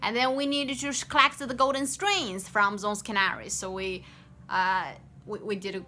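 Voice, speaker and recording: A woman at a medium pitch and moderate pace, with lively intonation. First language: Chinese. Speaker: game developer. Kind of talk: work progress update. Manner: halting, many fillers and restarts.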